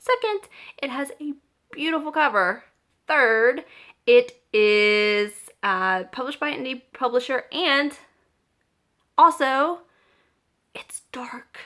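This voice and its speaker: With an American accent, a woman speaks very slowly in a raised, projected, high voice with a bright, sharp tone, lively intonation, big swings in loudness and long, frequent pauses. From US South, small-town Georgia. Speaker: book vlogger. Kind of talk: casual chat. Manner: casual, with filler words.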